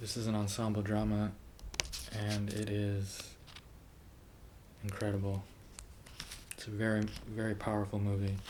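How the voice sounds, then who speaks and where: A soft-spoken man talks at a fairly low pitch with monotone, flat intonation. He takes long, frequent pauses. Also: moderate pace. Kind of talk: ASMR page-flipping movie review talk to camera.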